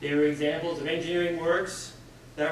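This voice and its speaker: A man with a Canadian accent speaks fairly quickly in monotone, flat intonation. There is audible room echo and light background noise. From Canada. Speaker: civil engineer. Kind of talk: panel presentation. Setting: stage with audience. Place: hall. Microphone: podium.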